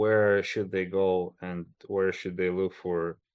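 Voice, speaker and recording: A man with a very deep, low pitch speaks at a very slow pace in a flat monotone. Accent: Russian. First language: Russian. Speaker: podcast host and agile coach. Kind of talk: interview.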